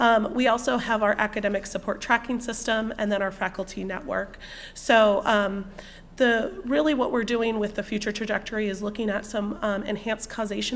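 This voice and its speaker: A woman's fairly high-pitched voice, an unremarkable speaking voice, with fairly even intonation and a fairly quick pace. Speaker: university student success staff presenter. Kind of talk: presentation.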